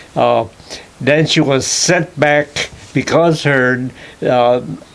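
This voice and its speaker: A man's fairly high voice at a very slow pace, with noticeable background noise. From Hawaii (Kauai, plantation). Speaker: retired chemistry professor. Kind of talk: oral history interview. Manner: halting, many fillers.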